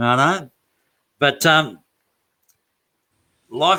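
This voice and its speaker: A man's bright, sharp voice with vocal fry and very wide pitch swings. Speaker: community show host. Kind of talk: live interview host. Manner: joking, casual.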